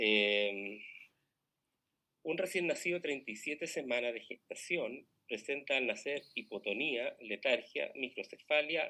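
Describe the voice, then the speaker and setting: A man's bright, sharp, fairly high voice with lively intonation and a fairly slow pace. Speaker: doctor teaching medical students. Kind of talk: lecture. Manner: conversational.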